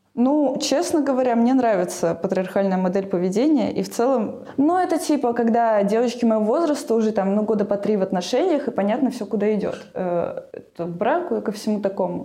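Amid noticeable background noise and audible room echo, a woman talks at a fairly quick pace and a fairly high pitch, with lively intonation and hardly any pauses. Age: 20s. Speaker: sociologist. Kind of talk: interview.

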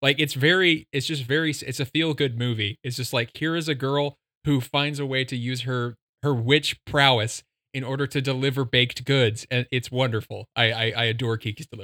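In a very clean recording with a silent background and a dry, close sound free of echo, a man of medium pitch talks fairly quickly with a bright, sharp tone and fairly even intonation. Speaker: podcast guest. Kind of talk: casual chat.

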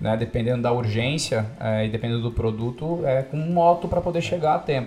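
Over music in the background, a man with medium pitch talks at a fairly quick pace with ordinary pitch variation. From São Paulo state, Brazil (São José dos Campos). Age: 30s. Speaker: logistics business heir. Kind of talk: podcast interview.

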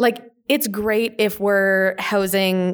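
Fairly even intonation from a woman with a Western Canadian accent. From Canada, small-town northern Alberta. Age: 20s. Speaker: mental health and LGBTQ speaker, grad student. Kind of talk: casual interview conversation. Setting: recorded on site at a conference.

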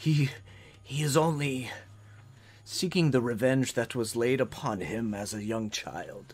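Putting on a gruff character voice, the speaker goes at a fairly slow pace with long, frequent pauses. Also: man, medium pitch for a man.

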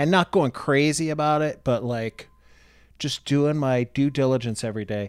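On a very clean recording with a silent background, a man speaks with an American accent and a plain, everyday voice. His fairly high pitch has ordinary variation at a moderate pace. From Ohio, US Midwest. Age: 50s. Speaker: comedian. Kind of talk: casual chat.

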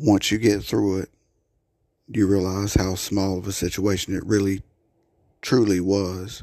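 In a very clean recording with a silent background, a man with a dark, mellow tone and fairly low pitch speaks in a shaky, monotone, flat voice at a fairly slow pace with long, frequent pauses. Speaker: solo podcaster ranting about his life. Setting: home recording with sirens audible outside. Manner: repetitive and halting, restarting words, a little shaky.

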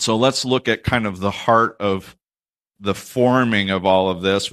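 Against a quiet background, a man has an unremarkable speaking voice, fairly low in pitch, with fairly even intonation at a moderate pace. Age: 30s. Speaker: pastor. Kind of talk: sermon.

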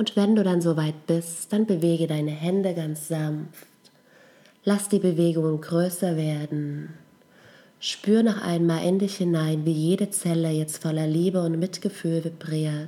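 A woman speaks at a fairly slow pace in a fairly low pitch with fairly even intonation. Her tone is gentle and calm, as well as dark and mellow. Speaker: meditation guide. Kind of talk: guided meditation. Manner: slow, calm, soothing; gentle, with long pauses.

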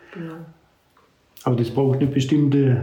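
Audible room echo surrounds a man speaking in a monotone, flat intonation. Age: 70s. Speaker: retired pastor. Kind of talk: casual chat.

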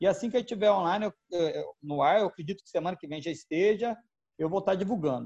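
Here a man talks at a very fast pace. His voice is high, with ordinary pitch variation. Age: 40s. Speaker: wedding and event photographer. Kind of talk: casual interview chat.

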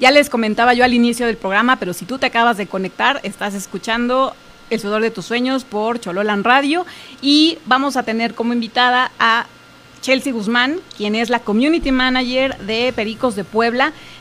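Talking at a moderate pace, a woman uses a high pitch with ordinary pitch variation. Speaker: radio host. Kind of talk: casual radio chat. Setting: radio studio with Facebook Live.

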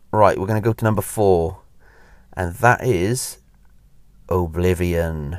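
In a Welsh accent, the speech moves at a fairly slow pace with long, frequent pauses and ordinary pitch variation. The recording is very clean, with a silent background. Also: man, very deep, low pitch for a man. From Wales. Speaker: podcast host, theme park enthusiast. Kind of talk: casual solo monologue. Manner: hesitant, many fillers.

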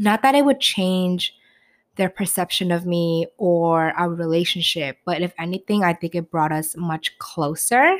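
A woman with a New York accent speaks at a fairly slow pace, her pitch fairly low and her tone animated. The very clean recording has a silent background and a dry, close sound with no echo. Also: ordinary pitch variation. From New York City. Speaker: podcast host. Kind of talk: casual chat.

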